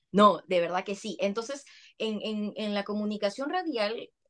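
This woman speaks with a Peruvian accent. Her pitch varies in an ordinary way. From Peru, Lima. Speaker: communicator, trained teacher. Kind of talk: casual chat.

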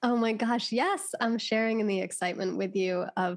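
This speaker has an American accent and vocal fry. The pace is moderate, with ordinary pitch variation. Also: woman. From United States. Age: 20s. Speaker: life coach. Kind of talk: podcast interview. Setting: video call.

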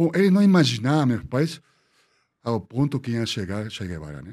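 A man with a Spanish accent, dark and mellow in tone, at a fairly quick pace with very wide pitch swings. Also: very clean recording, silent background. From Peru, Lima (Miraflores). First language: Spanish (speaking Portuguese). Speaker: architect. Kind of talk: interview storytelling.

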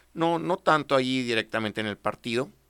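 On a very clean recording with a silent background, a man's voice makes very wide pitch swings, the sound dry and close with no echo. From Mexico, Delicias, Chihuahua. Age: 60s. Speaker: politician, former mayor and federal deputy. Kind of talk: interview.

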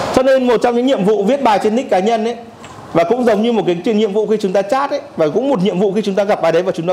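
Over noticeable background noise, a man talks at a very fast pace in a high voice with lively intonation. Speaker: workshop instructor. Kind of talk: lecture. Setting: classroom with live audience.

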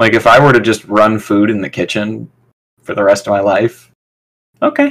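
With an American accent, a man speaks at a fairly low pitch in an ordinary speaking voice. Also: fairly even intonation, moderate pace. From Michigan. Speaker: stand-up comedian. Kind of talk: casual chat.

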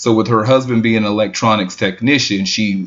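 Fairly quick and fairly low in pitch, a man speaks in a plain, everyday voice with fairly even intonation. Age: 40s. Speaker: podcast co-host. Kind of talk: casual chat.

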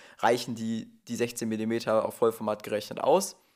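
A man with a medium-pitched voice speaks on a very clean recording with a silent background. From Ruhr area, near Duisburg, Germany. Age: 20s. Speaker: photographer. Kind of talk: casual conversation. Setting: sitting together on a sofa, in person. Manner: hesitant, many fillers.

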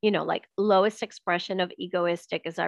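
Her pitch sits fairly low, and vocal fry runs through this woman's voice. She keeps a moderate pace with monotone, flat intonation. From Venezuela. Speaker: author and spiritual teacher. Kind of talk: casual chat.

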